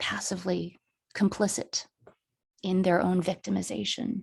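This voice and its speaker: A woman at a fairly slow pace on a very clean recording with a silent background. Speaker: poet and author. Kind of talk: academic presentation talk.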